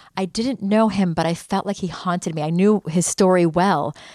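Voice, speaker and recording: A woman talks with an American accent in a normal speaking voice, using ordinary pitch variation. The recording is very clean, with a silent background. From United States. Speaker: journalist. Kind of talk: interview.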